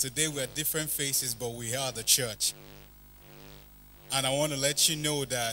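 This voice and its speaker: A man at a moderate pace with fairly even intonation and long, frequent pauses, music in the background. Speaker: church spoken word performer. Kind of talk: casual address to a live audience. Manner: expressive, rhythmic. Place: church. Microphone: handheld.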